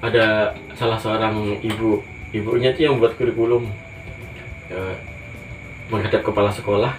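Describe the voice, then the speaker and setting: Music plays in the background as a man speaks with a Javanese accent. His medium-pitched voice moves at a moderate pace with fairly even intonation. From Java, Indonesia. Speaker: teacher. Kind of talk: interview. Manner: halting.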